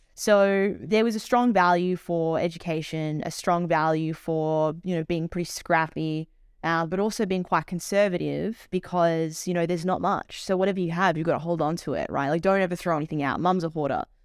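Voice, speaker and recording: With an Australian accent, a woman talks at a fairly low pitch with fairly even intonation and hardly any pauses, on a very clean recording with a silent background. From Australia, Melbourne. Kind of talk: interview, personal story.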